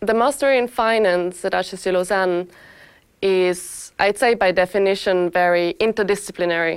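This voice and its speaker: On a very clean recording with a silent background, a woman with a German accent speaks at a moderate pace and medium pitch, with ordinary pitch variation and very even loudness. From Austria. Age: 20s. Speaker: master's student in finance. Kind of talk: testimonial interview.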